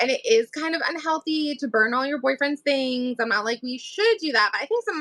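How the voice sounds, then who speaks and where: In an American accent, a woman projects a raised voice with a bright, sharp tone and very wide pitch swings. She talks at a fairly quick pace, and the sound is dry and close with no echo. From New England, US. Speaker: author. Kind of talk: casual chat. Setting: livestream.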